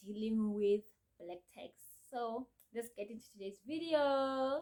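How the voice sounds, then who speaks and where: A woman talks at a moderate pace with a fairly high pitch and ordinary pitch variation. Her tone is dark and mellow. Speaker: YouTuber. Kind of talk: casual vlog talk.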